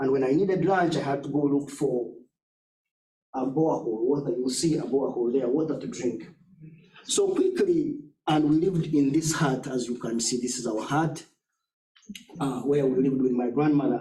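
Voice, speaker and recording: A man with a fairly high pitch and a dark, mellow tone talks at a moderate pace, somewhat breathy, leaving long, frequent pauses amid audible room echo. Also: ordinary pitch variation. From southwestern Uganda. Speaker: education nonprofit leader. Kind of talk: talk with slides. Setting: church forum with audience.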